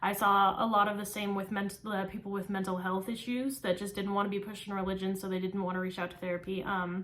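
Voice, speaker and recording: Someone speaks with an American accent at a fairly quick pace over noticeable background noise. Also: woman. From California, small-town central California. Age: 20s. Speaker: psychology student. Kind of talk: class speech, self-introduction. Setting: recorded for speech class. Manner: frequent filler ums, somewhat halting.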